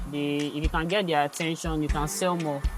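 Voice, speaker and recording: A man's fairly high voice over background music. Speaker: fashion designer. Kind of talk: interview answer.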